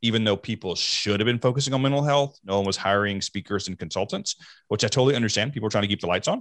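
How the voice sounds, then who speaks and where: Speaking at a very fast pace with a fairly low pitch and ordinary pitch variation, a man with an American accent is heard on a very clean recording with a silent background. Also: dry, close sound with no echo. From US South. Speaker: mental health speaker. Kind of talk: interview.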